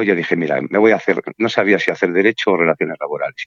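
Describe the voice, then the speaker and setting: Dry and close with no echo, a man's voice moves at a fairly quick pace. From Spain, Burgos. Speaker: civil servant in the justice system. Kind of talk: interview. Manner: calm.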